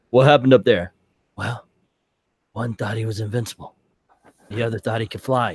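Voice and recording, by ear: Whispering in a put-on character voice, the speaker is breathy and soft-spoken, talking at a fairly quick pace between long, frequent pauses, with a dry, close sound and no echo. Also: man.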